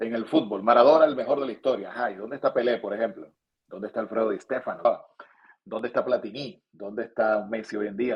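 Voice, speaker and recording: A man at a very fast pace. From Venezuela. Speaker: sports broadcaster. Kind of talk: interview answer.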